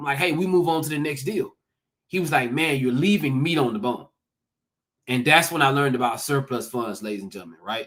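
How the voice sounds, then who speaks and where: A man with a Southern accent, fairly high pitch, ordinary pitch variation, an animated tone and a fairly quick pace. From US South, Georgia. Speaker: real estate investor, former teacher. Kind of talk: conference talk. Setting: livestreamed summit.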